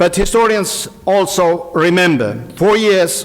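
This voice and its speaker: A man speaks with normal pitch movement against clearly audible background noise. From Estonia, Pärnumaa. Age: 60s. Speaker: historian. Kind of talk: conference speech. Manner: formal.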